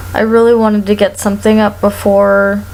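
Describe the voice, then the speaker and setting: A woman's speech comes through with noticeable noise in the background. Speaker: performer. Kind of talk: casual talk to camera.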